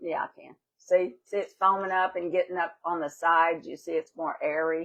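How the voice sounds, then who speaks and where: At a moderate pace, a woman with a fairly low pitch speaks in a monotone, flat intonation, her loudness swinging widely. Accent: Louisiana. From Louisiana. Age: 70s. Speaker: home baker demonstrating a recipe. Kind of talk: cooking demonstration, casual chat.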